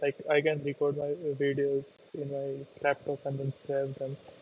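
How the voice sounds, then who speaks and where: A man speaks with a fairly high pitch and a somewhat breathy quality. His pace is fairly slow. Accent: non-native. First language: not English. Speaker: YouTuber learning to code. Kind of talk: casual live stream talk. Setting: live stream on laptop. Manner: halting.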